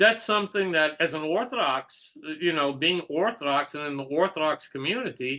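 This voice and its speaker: Against a quiet background, a man with a fairly high pitch uses a bright, sharp tone and lively intonation at a moderate pace. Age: 60s. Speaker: Orthodox rabbi. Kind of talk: casual chat. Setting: video call.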